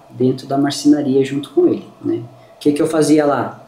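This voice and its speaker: A man speaks with a fairly high pitch. Room echo is audible, and background noise is noticeable. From southern Brazil, Lages, Santa Catarina. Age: 40s. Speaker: furniture business owner. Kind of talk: podcast interview.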